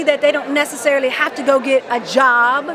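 Over noticeable background noise, a woman with an American accent speaks at a fairly quick pace in a raised, projected voice. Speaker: life coach. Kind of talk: interview. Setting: expo event. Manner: energetic. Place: hall. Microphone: handheld.

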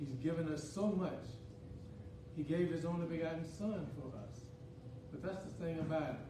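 A man with a fairly high pitch speaks at a moderate pace, with ordinary pitch variation and long, frequent pauses. Audible room echo and noticeable background noise are present. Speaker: church leader; preacher. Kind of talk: communion talk, scripture; sermon. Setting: church. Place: church. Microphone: podium.

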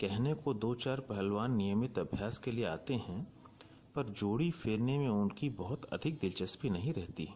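A man's dark, mellow voice sits at a medium pitch, with very even loudness and lively intonation. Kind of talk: documentary narration.

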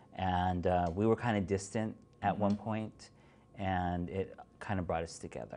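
With a very deep, low pitch, a man speaks at a moderate pace and with fairly even intonation. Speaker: interview guest. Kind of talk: interview answer. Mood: calm, reflective. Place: studio.

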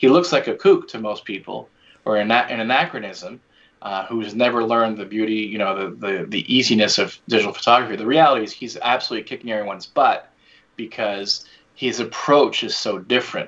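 Using a normal speaking voice, a man with an American accent talks at a fairly quick pace, at a medium pitch with ordinary pitch variation and big swings in loudness. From United States, French parents. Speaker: commercial photographer and filmmaker. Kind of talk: interview.

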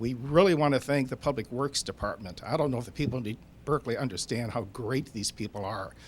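Talking very fast, a man with an American accent uses ordinary pitch variation. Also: medium pitch for a man. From Michigan, US Midwest. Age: 70s. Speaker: historical committee volunteer. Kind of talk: public comment at council meeting.

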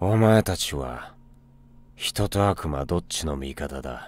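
Fairly slow, very deep and low put-on character voice from a man. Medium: voice reel. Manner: cool, gruff.

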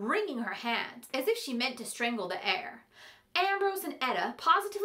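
The clip is reading aloud in a natural voice with lively intonation.

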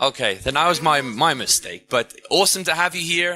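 The voice has a bright, sharp tone with ordinary pitch variation. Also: man. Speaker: conference emcee. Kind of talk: event announcements and speaker introduction. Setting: stage with audience. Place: hall.

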